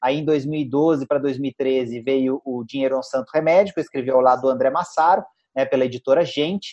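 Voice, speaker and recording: A man speaks in a normal speaking voice at a medium pitch and a moderate pace. His intonation is fairly even, and the sound is dry and close, with no echo. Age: 40s. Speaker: financial educator and author. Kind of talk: interview chat.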